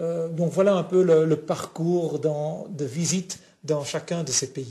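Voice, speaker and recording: Very slowly and with fairly even intonation, a man speaks at a fairly high pitch in a dark, mellow tone. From Flanders, Belgium. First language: Flemish (Dutch) (speaking French). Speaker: pastor and lecturer. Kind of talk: TV interview. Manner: halting, many hesitations.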